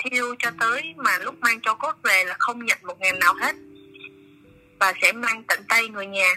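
Music plays in the background while a woman talks at a very slow pace, leaving long, frequent pauses. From Vietnam, Bình Phước province. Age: 20s. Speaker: volunteer ambulance and funeral-car driver. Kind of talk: interview testimony. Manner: halting.

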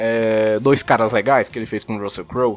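A man with a Brazilian accent at a fairly quick pace. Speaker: podcast co-host. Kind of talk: casual chat. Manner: animated.

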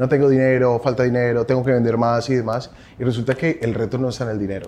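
Very fast speech from a man at a medium pitch. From Colombia. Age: 40s. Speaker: advertising agency CEO. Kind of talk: interview.

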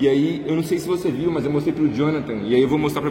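With audible room echo and noticeable background noise, a man talks very fast at a fairly high pitch. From Brazil, Minas Gerais. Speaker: podcast host. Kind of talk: podcast interview.

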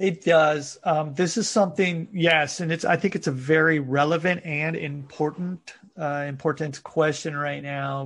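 A man with an American accent has a normal speaking voice, pitched fairly high. His intonation is fairly even, and the background is quiet. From United States. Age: 40s. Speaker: fitness coach. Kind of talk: interview.

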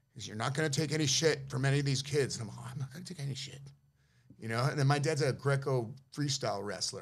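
A man with an American accent talks very fast. His voice is somewhat breathy. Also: fairly high pitch for a man. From San Francisco, US. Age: 50s. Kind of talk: casual chat. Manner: animated.

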